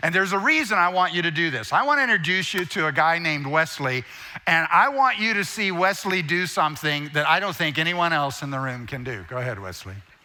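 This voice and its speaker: Over noticeable background noise and audible room echo, a man talks very fast at a high pitch with lively intonation. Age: 60s. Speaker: guest preacher and speaker. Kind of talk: sermon.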